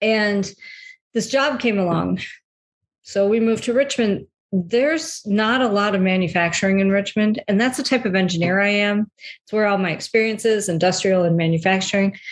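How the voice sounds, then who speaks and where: A woman with an American accent speaks in an unremarkable speaking voice at a medium pitch. Her pace is moderate, her loudness very even, and her pitch variation ordinary. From US Midwest, Metro Detroit. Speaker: health and transition coach. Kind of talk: casual interview.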